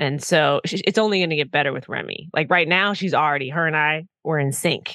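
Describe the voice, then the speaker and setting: Talking at a fairly quick pace with hardly any pauses, a woman with an American accent has a very deep, low pitch. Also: ordinary pitch variation. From Minnesota, US Midwest. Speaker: podcast co-host. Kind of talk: casual chat.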